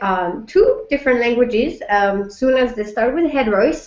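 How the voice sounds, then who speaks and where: A woman speaks in a French accent at a high pitch. Her intonation is lively and her pace fairly slow. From France. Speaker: French teacher. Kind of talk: school information webinar. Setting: live video webinar.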